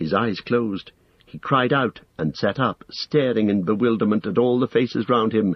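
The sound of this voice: An unforced reading voice carries the recording.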